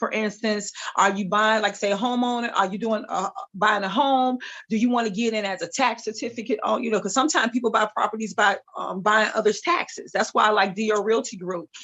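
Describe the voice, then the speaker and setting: A woman speaks fairly quickly with a fairly high pitch. Her intonation stays fairly even. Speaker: real estate broker. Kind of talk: webinar talk. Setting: video call. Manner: fast.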